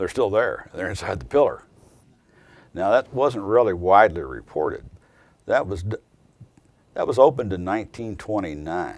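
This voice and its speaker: Speaking at a moderate pace with long, frequent pauses, a man talks with an American accent. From southern Indiana (Jeffersonville). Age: 60s. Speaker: attorney. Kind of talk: interview testimony.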